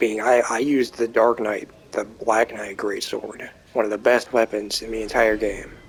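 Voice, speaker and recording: A man speaks at a medium pitch and a moderate pace. His intonation is monotone and flat, with noticeable background noise behind him. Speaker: gaming youtuber. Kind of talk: gameplay commentary. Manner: casual.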